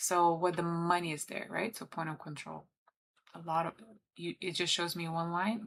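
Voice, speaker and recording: A woman speaks with a Lithuanian accent. Her pitch is fairly low and her pace moderate. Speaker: trader and livestreamer. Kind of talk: live trading commentary. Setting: livestream. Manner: casual, chatty.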